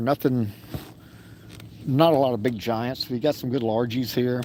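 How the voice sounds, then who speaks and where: A man of medium pitch talks with a Texan accent. He keeps a moderate pace with ordinary pitch variation. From Texas. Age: 60s. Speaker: fishing livestreamer. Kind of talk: live outdoor commentary. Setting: outdoors in a kayak on a lake. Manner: casual, halting.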